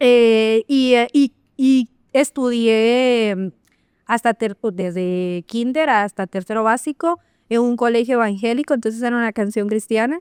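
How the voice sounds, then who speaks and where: A woman's fairly high voice at a fairly slow pace, with ordinary pitch variation, in a dry, close sound with no echo and a very clean recording with a silent background. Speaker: marketing professional and cultural manager. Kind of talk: interview conversation. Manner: loud.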